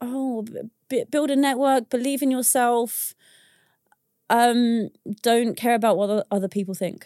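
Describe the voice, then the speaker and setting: In a British accent, a woman speaks at a high pitch with fairly even intonation and long, frequent pauses, on a very clean recording with a silent background and a dry, close sound with no echo. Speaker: business founder. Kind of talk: casual interview chat.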